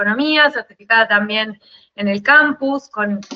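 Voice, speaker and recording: Someone with an Argentine accent speaks at a moderate pace with ordinary pitch variation. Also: woman. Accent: Rioplatense Argentine Spanish. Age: 40s. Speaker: life consultant. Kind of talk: interview.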